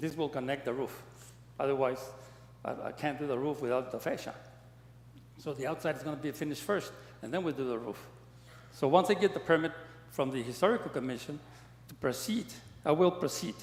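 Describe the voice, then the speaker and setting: Over noticeable background noise, a man with an American accent talks at a very fast pace with ordinary pitch variation, broken by long, frequent pauses. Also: fairly high pitch for a man. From El Paso, Texas. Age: 80s+. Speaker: property owner applicant. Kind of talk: public meeting testimony. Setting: city commission meeting. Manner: halting, repetitive.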